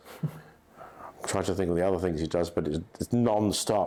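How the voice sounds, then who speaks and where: With a very deep, low pitch and a dark, mellow tone, a man speaks. His pace is moderate. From England. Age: 70s. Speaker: estate agent, company founder. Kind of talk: podcast interview. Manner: formal.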